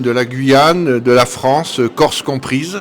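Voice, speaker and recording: The speaker is male. His voice falls at a medium pitch. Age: 60s. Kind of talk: interview. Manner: hesitant with frequent fillers.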